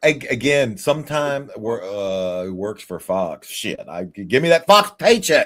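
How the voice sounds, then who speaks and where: Speaking very slowly with hardly any pauses, a man uses a fairly high pitch with very wide swings and big swings in loudness. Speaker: wrestler and online video maker. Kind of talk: casual chat. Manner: formal, articulate.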